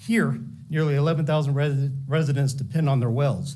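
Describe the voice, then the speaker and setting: A man's dark, mellow, somewhat breathy voice, fairly high in pitch, at a fairly quick pace, with ordinary pitch variation and audible room echo. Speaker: public commenter at county meeting. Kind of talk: public comment speech. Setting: public meeting. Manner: fast.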